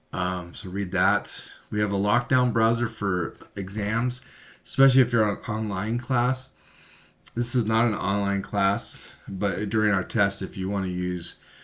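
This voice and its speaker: A man with a fairly deep voice keeps his intonation fairly level while talking at a moderate speed. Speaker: math teacher. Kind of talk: lecture. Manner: halting.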